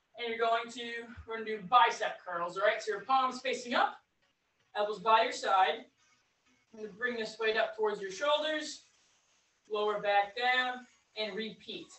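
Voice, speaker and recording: A woman's fairly high voice at a moderate pace, with long, frequent pauses, big swings in loudness and audible room echo. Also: ordinary pitch variation. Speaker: fitness instructor. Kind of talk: guided exercise class. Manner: calm, encouraging, steady; paced by counting down. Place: empty room. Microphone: camera far.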